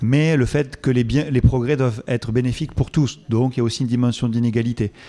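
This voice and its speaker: A man speaks with a Toulouse accent at medium pitch. His pace is moderate and his pitch variation ordinary. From southern France, Toulouse. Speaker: epidemiologist, research director. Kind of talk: conference Q&A. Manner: hesitant, many fillers.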